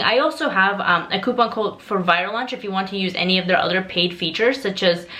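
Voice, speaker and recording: A woman talks at a fairly quick pace and medium pitch, with ordinary pitch variation and noticeable background noise behind her. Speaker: Amazon seller and online course creator. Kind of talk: tutorial. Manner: casual, conversational with fillers.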